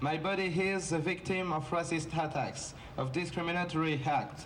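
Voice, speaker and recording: Someone talks in a French accent over noticeable background noise. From France. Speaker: activist, founder of anti-racism group. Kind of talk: rally speech. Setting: outdoor rally.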